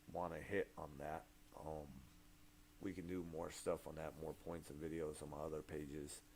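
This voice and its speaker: A dark, mellow voice moves at a moderate pace, with long, frequent pauses and big swings in loudness. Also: man. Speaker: rapper. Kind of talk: casual livestream chat. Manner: halting.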